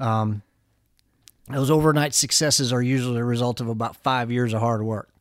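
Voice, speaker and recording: In a very clean recording with a silent background, a man with an American accent talks in an ordinary speaking voice at a fairly quick pace, his medium pitch following fairly even intonation. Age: 40s. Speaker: violinist. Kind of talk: casual chat.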